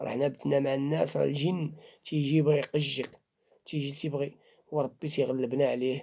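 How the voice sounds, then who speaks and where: A man speaks at a fairly high pitch. His pace is fairly quick and his intonation monotone and flat. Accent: Moroccan. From Morocco. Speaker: Islamic faith healer. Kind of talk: religious talk to camera.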